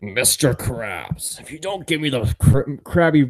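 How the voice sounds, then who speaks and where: Putting on a character voice, a man speaks at a fairly slow pace and a fairly high pitch. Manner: scheming.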